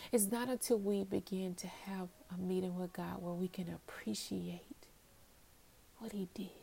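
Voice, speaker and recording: Somewhat breathy female voice of medium pitch, dark, mellow tone, fairly even intonation and a moderate pace. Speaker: podcast host. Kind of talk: devotional monologue. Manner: hesitant fillers.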